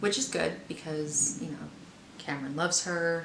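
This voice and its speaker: Moderate pace, audible room echo and noticeable background noise. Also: woman. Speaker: book reviewer. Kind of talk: casual book review vlog. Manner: halting.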